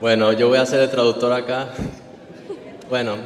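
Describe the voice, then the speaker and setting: A man talks at a moderate pace in a monotone, flat intonation. Background noise is noticeable. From Venezuela. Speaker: interpreter for his partner. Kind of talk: interpreting testimony.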